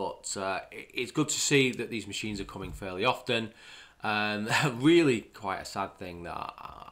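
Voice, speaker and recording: The speaker is a man at a moderate speed. Ordinary pitch variation runs through his speech. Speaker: channel host commenting on news. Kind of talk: commentary. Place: home room.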